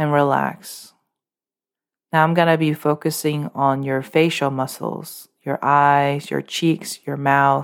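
A calm tone at a very slow pace, in a very clean recording with a silent background. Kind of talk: guided meditation. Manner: instructional, calm, rhythmic, repeating 'tight, tight, tight' before a release.

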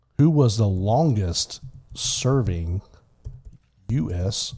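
A man in an American accent, fairly low-pitched with a dark, mellow, somewhat breathy tone, speaking at a very slow pace with very wide pitch swings and long, frequent pauses. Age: 50s. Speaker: podcast host. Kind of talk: casual chat.

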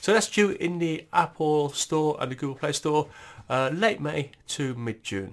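A man speaks with a British accent, his pitch fairly high. The recording is very clean, with a silent background. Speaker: tech news presenter. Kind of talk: tech update podcast. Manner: fast; hesitant, many fillers and repetitions.

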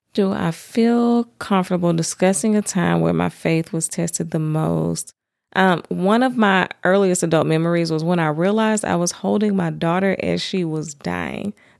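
A woman with a Southern US accent, fairly low in pitch, at a moderate pace. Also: very clean recording, silent background. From US South. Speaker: podcast host. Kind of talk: personal testimony monologue.

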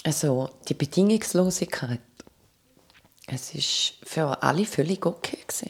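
A woman speaks at a fairly slow pace in a fairly low pitch, with long, frequent pauses. Her intonation is lively. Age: 40s. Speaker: cancer survivor. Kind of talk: testimony.

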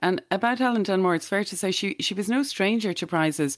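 A woman with an Irish accent speaks very fast at a medium pitch. Her pitch varies in an ordinary way, and the recording is very clean with a silent background. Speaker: podcast host. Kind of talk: casual chat.

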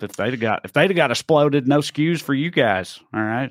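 In a Southern US accent, a man talks at a moderate pace and medium pitch with lively intonation. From Tennessee. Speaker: podcast host. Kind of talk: casual political chat.

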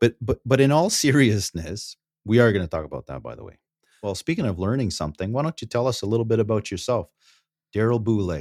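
A man with a Canadian accent talks at a very fast pace and a medium pitch, with lively intonation and big swings in loudness. The sound is dry and close, with no echo. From Northern Ontario, Canada. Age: 40s. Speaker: financial planner, co-host. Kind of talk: casual chat. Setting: video call.

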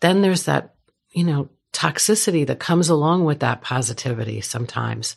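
A woman with an American accent speaks fairly quickly in a very deep, low pitch with vocal fry. Her intonation is lively. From New York. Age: 50s. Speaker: business owner and author. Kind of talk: interview.

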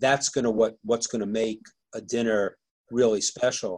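Here a man talks at a medium pitch. His is an unremarkable speaking voice. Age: 60s. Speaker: author and business mentor. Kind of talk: interview.

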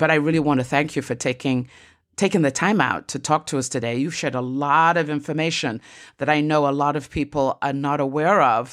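This woman's pitch is very deep and low, with fairly even intonation. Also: very clean recording, silent background. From Nigeria. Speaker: podcast host. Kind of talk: interview.

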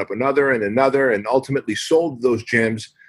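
A man with a medium pitch speaks in a plain, everyday voice. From US (immigrated from Armenia at age six). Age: 40s. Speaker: fitness franchise founder and author. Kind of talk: podcast interview.

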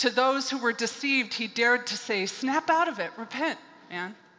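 A woman speaks at a moderate pace in a raised, projected voice. Her pitch is high and her intonation lively. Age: 50s. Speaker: pastor. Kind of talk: sermon. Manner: conversational, with laughter.

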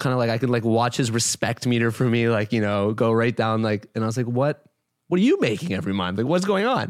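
A man's medium-pitched voice with a Canadian accent, very fast in pace, with ordinary pitch variation and very even loudness, in a very clean recording with a silent background. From Toronto, Canada. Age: 20s. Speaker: entrepreneur. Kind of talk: interview.

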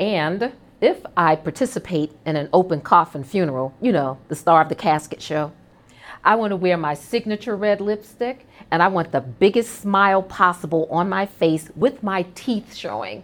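With an American accent, a woman speaks at a medium pitch and a moderate pace in a plain, everyday voice, her intonation lively, on a very clean recording with a silent background. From New York City, Brooklyn. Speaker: corporate executive hosting internal podcast. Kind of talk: personal monologue. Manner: warm, conversational.

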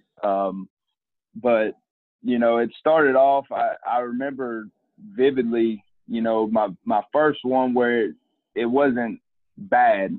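Speaking in a Southern US accent, a man moves at a very slow pace. He takes long, frequent pauses and shows ordinary pitch variation. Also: medium pitch for a man. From US South, coastal Mississippi. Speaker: college football equipment manager and coach, former athlete. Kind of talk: interview. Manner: halting, many fillers and repeated words.

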